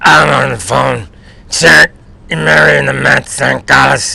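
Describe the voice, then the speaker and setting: A man mumbles in a put-on character voice, raspy and very deep. His pace is fairly slow. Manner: mumbled, hard to understand.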